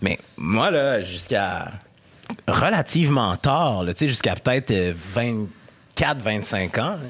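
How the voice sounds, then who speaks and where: A man with a Quebec accent speaks at a very slow pace and medium pitch, his loudness very even and his intonation lively, with noticeable background noise behind him. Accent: Québécois. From Quebec City, Quebec. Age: 30s. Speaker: radio host and columnist. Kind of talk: casual chat. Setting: studio.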